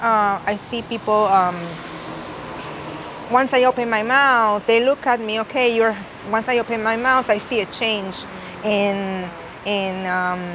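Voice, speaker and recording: A woman's fairly high voice in a strong Puerto Rican accent at a fairly slow pace, with fairly even intonation and noticeable background noise. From Puerto Rico. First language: Spanish. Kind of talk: interview. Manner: halting, with frequent restarts.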